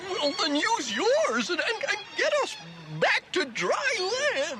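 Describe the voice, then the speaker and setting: A cartoonish character voice at a fairly slow pace over loud background noise. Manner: stammering, nervous.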